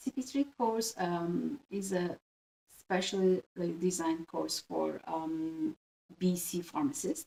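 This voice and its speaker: Speaking very slowly, a woman uses a Turkish accent with a medium pitch. Her tone is dark and mellow, and her intonation is lively. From Turkey. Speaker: pharmacist. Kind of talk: interview. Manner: halting, many fillers.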